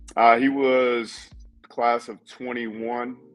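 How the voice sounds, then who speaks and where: A man with an American accent speaks while music plays behind him. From Tennessee. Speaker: high school football coach. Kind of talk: casual interview. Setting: studio.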